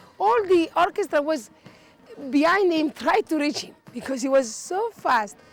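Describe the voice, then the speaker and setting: Over music in the background, a woman speaks at a high pitch. Her pitch swings very widely at a moderate pace. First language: not English. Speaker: volunteer decorator. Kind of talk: interview testimony. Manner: halting.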